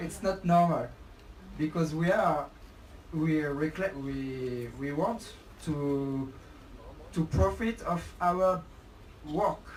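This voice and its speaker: The speaker, with a French accent, talks at a very slow pace with long, frequent pauses. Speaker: protester. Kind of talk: casual discussion. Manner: halting.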